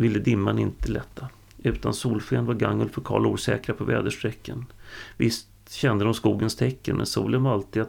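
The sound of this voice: What plays here is an unforced reading voice.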